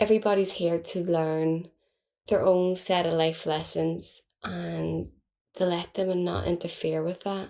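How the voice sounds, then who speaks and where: A woman speaks at a fairly slow pace. The recording is very clean with a silent background. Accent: Belfast. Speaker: podcast host. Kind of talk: casual monologue. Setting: at home.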